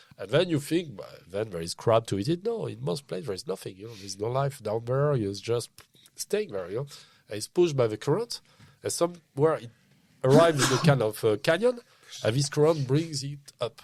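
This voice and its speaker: A man with a French accent talks fairly quickly at medium pitch, with very wide pitch swings and big swings in loudness, on a very clean recording with a silent background. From France. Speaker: whale researcher and freediver. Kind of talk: podcast interview. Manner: animated.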